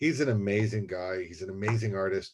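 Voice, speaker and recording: Over a quiet background, a man with a fairly low pitch talks at a fairly quick pace with ordinary pitch variation. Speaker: university administrator. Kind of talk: presentation. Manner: fast.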